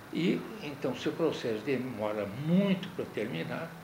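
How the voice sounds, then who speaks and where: A man with very wide pitch swings, in audible room echo. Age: 70s. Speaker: lawyer and law professor. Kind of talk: interview.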